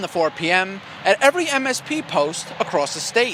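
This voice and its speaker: A man with a raised, projected voice and lively intonation is heard over noticeable background noise. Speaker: TV news anchor and reporter. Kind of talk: TV news anchor delivery. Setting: studio.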